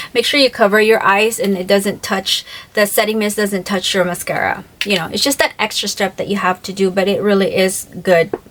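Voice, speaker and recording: Over noticeable background noise, a woman talks at a fairly quick pace with a medium pitch and ordinary pitch variation. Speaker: beauty vlogger. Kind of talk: product review vlog. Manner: animated.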